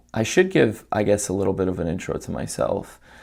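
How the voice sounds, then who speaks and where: Fairly low-pitched male voice with vocal fry and an American accent, very cleanly recorded over a silent background. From New York (Queens, Long Island). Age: 30s. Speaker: vlogger. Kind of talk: unscripted live monologue. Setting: live stream. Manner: halting, many fillers.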